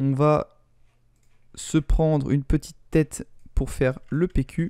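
Speaking at a very slow pace, a man uses a fairly high pitch, a dark, mellow tone and fairly even intonation, with very even loudness. The sound is dry and close, with no echo. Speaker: Minecraft YouTuber. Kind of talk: gameplay commentary.

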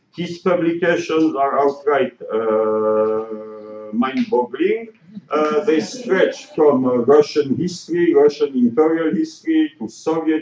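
A man with a French accent speaks at a fairly slow pace and a fairly high pitch with lively intonation, with audible room echo and music in the background. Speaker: conference moderator. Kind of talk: formal introduction. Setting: stage with audience. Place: hall.

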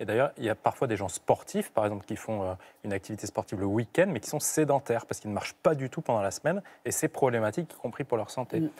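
A man's very fast speech with lively intonation. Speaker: geriatrician; guest. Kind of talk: expert explanation on TV. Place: studio. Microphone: lapel.

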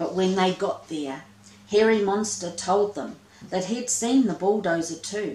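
The voice reads naturally, its pitch rising and falling in an ordinary way.

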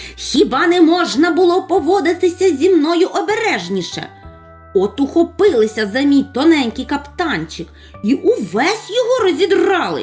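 A woman performs a shrill, put-on character voice at a moderate pace. Clear music plays in the background. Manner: indignant, complaining.

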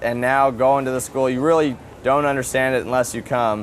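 With an American accent, a man speaks at a moderate pace and with fairly even intonation as faint music plays in the background. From US Pacific Northwest, Spokane, Washington; Washington. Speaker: college football quarterback. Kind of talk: interview. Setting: media day interview. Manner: casual, halting with fillers. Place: street.

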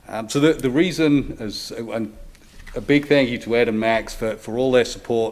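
Spoken with an English accent and fairly even intonation, this clip has noticeable background noise. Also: man. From England. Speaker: university real estate director presenting to a zoning board. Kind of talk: public hearing presentation. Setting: public meeting room at a podium. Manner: loud; hesitant, many fillers.

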